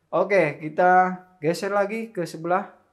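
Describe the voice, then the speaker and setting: This man speaks at a very slow pace over a quiet background. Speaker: air rifle shop salesman and video host. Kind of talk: sales pitch. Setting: shop showroom with rifles on display. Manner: upbeat, fluent salesman patter; rattles off models and prices briskly. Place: shop. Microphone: lapel.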